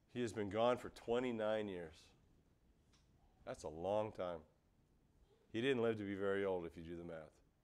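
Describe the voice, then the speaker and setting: A man's fairly low voice with an animated tone and ordinary pitch variation, long, frequent pauses, and audible room echo. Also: moderate pace. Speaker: pastor. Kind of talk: sermon. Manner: loud.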